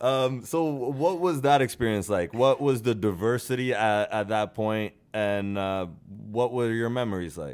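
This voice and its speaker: A man talks with lively intonation at a medium pitch. He has an unremarkable speaking voice. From Norway, then Canada. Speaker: podcast host. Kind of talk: casual chat. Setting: studio.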